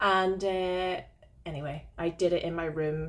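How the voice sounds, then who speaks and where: A woman's fairly low voice in a Northern Irish accent. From Northern Ireland. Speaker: podcast co-host, witch. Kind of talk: casual chat.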